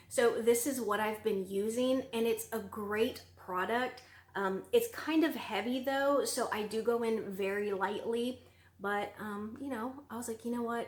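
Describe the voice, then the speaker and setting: A Southern US accent at a moderate pace, with fairly even intonation. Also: woman. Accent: Southern US, sounds country. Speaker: beauty vlogger. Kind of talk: product review vlog. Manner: casual, filler-heavy (um, like).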